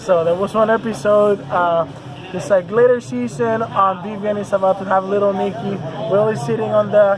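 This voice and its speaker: A man with a Spanish accent speaks in a high pitch with ordinary pitch variation over noticeable background noise. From Puerto Rico. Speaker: metal band musician. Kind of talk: casual interview. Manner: hesitant, many fillers.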